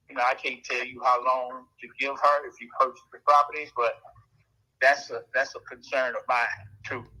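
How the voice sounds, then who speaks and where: Moving at a moderate pace, a man speaks with big swings in loudness. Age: 60s. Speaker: home seller on a sales call. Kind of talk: phone negotiation.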